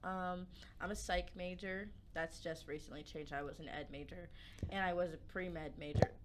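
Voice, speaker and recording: A woman with an American accent speaks at a moderate pace, with a fairly low pitch, vocal fry, and fairly even intonation. Audible room echo surrounds her voice. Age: young. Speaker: college student and podcast co-host. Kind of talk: casual chat. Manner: loud.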